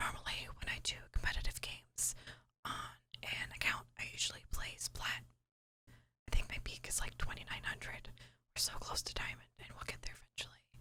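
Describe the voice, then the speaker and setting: Whispering at a moderate pace. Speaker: ASMR content creator and gamer. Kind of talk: casual voiceover commentary over gameplay. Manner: soft, whispering.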